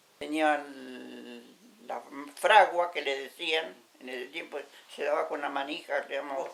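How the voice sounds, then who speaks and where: A woman with a very deep, low pitch speaks at a very slow pace, with long, frequent pauses. Her loudness swings widely, while her pitch varies in an ordinary way. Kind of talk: interview answer.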